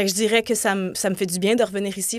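Fairly even intonation marks a woman's voice at a medium pitch. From grew up on three continents. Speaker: TV director. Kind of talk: casual chat. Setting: studio.

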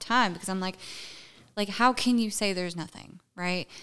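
Fairly low female voice with a Southern US accent on a very clean recording with a silent background. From West Tennessee, US South. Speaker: recovering alcoholic sharing her story. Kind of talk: personal testimony interview.

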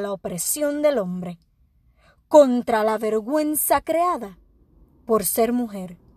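A woman speaks with a high pitch and lively intonation. Her tone is intense. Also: dry, close sound with no echo. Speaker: poet. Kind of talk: spoken word poetry, performed. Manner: intense, emotionally charged, defiant.

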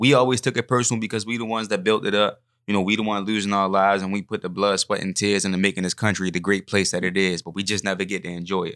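In a very clean recording with a silent background and a dry, close sound with no echo, a man talks at a very fast pace with hardly any pauses, his fairly low voice keeping fairly even intonation. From Baltimore City, Maryland. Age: 20s. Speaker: youth street outreach worker and writer. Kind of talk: interview. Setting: studio. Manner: many filler ums.

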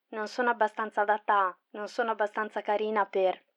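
Fairly quick, fairly high speech from a woman, dry and close with no echo, on a very clean recording with a silent background. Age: 20s. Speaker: podcaster. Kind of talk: scripted personal narration.

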